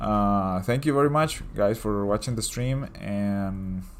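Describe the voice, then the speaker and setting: With music playing in the background, a man speaks in a Latin American accent at a fairly low pitch. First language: Spanish. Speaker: digital artist and comic creator. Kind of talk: casual livestream chat. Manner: casual, hesitant with fillers.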